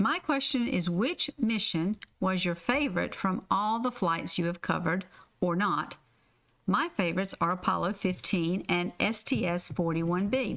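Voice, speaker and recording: A woman of medium pitch speaks at a moderate pace with lively intonation and very even loudness. The recording is very clean, with a silent background. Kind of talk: reading listener questions.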